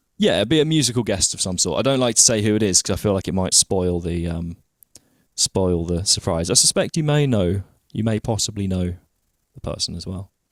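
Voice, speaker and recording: A man's fairly low voice at a fairly quick pace with lively intonation, dry and close with no echo, on a very clean recording with a silent background. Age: 20s. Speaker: podcast host and guitar teacher. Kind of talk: casual interview chat. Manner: halting, many fillers.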